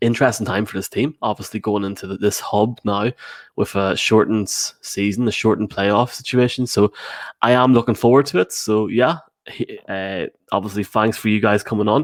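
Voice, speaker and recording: A man talks at a fairly quick pace. He has an Irish accent. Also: fairly low pitch for a man, ordinary pitch variation, very clean recording, silent background. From Ireland. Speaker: sports podcast host. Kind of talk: casual chat. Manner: halting.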